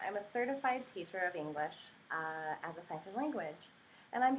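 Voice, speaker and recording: A woman in an American accent speaks with very wide pitch swings. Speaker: English teacher (ESL). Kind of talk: casual talk to camera, educational explanation.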